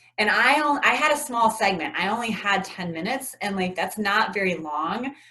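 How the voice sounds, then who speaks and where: An animated tone with lively intonation at a moderate pace, set against noticeable background noise. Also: woman, medium pitch for a woman. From US South, Atlanta, Georgia. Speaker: community executive, TEDx speaker. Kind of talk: interview.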